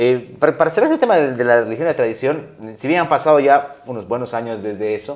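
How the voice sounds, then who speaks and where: A man talks at a fairly quick pace in an unremarkable speaking voice. His intonation is lively. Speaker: interview show host. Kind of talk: interview conversation.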